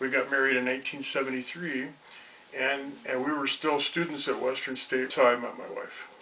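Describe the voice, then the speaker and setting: A man at a fairly quick pace, with noticeable background noise and audible room echo. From Colorado (Denver area), US. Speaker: retired teacher. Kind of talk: interview, personal life story. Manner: halting, many fillers and repetitions.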